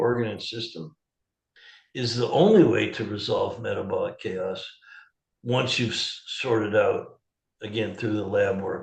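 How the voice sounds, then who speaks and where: The man's pace is moderate. His voice carries audible room echo. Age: 70s. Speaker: holistic health practitioner. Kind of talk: interview. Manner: animated.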